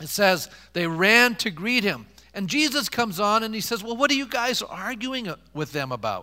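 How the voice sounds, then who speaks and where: A man's raised, projected voice, high in pitch and bright and sharp in tone, with lively intonation at a moderate pace. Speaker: pastor. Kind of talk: sermon. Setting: church. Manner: animated, impassioned preacher building momentum; call-and-response, rhetorical questions to congregation.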